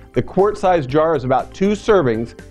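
The man's delivery moves at a moderate pace. Behind him, faint music is playing. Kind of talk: tutorial. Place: studio. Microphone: lapel.

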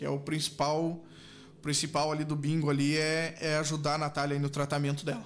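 Light background noise sits behind a man talking at a fairly quick pace. His fairly high voice has monotone, flat intonation. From southern Brazil, Rio Grande do Sul (Canguçu); Rio Grande do Sul, Brazil. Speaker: charity bingo organizer, patient's husband; guest. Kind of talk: radio interview. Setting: radio studio, streamed live. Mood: earnest, appealing for help. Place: studio. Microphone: studio mic.

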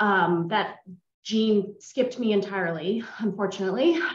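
Audible room echo surrounds a woman speaking with an American accent and ordinary pitch variation. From US Pacific Northwest, Seattle. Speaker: audience member. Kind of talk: casual chat. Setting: video call. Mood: warm, friendly. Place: home room. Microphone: video call.

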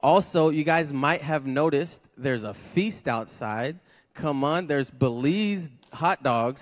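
An unremarkable speaking voice from a man, fairly high in pitch, with ordinary pitch variation and a fairly slow pace. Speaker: church service host. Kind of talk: church announcements. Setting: church with congregation.

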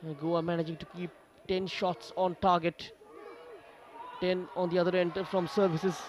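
Noticeable background noise sits under a man speaking at a high pitch with monotone, flat intonation. His pace is moderate, broken by long, frequent pauses. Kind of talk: live match commentary. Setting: stadium match broadcast.

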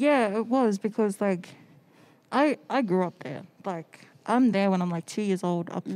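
Speaking at a moderate pace, a woman with an Australian accent uses ordinary pitch variation. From Australia (Sydney), born in the Cook Islands. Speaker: photographer. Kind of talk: casual chat. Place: studio. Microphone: handheld.

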